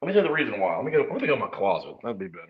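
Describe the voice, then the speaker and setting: Audible room echo follows a man as he speaks at a very fast pace. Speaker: sports livestream host. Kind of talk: casual chat. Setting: livestream from bathroom, then closet.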